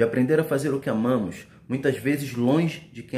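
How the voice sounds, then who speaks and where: A man speaks at a moderate pace in a solemn, somewhat breathy voice with lively intonation, over light background noise and audible room echo. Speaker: spoken word poet. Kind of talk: spoken word poetry, reflective pandemic-era verse. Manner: solemn, measured, meditative delivery with rhythmic pauses. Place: home room. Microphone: phone near.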